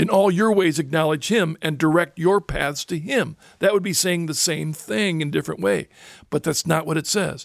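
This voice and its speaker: A man with a normal speaking voice talks at a moderate pace with ordinary pitch variation. The sound is dry and close, with no echo. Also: fairly high pitch for a man. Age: 60s. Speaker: radio host. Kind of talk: casual conversation. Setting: studio.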